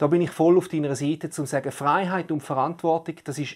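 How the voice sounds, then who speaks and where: Fairly quick speech on a very clean recording, the background silent. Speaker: podcast co-host. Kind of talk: casual discussion.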